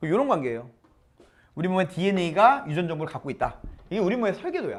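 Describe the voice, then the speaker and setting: Speaking very fast yet leaving long, frequent pauses, a man uses lively intonation at a high pitch. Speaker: science teacher. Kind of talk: lecture. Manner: casual, mixing polite and informal speech.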